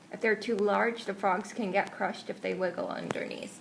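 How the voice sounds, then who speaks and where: A woman speaks at a medium pitch and a moderate pace against noticeable background noise. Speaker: pet frog keeper. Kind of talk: casual voice-over commentary. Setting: home recording, sometimes muffled mic.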